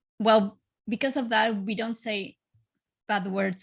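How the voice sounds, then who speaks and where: A woman with a Spanish accent sounds somewhat breathy, with fairly even intonation. The recording is very clean with a silent background. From Chile. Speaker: life coach. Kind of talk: podcast interview.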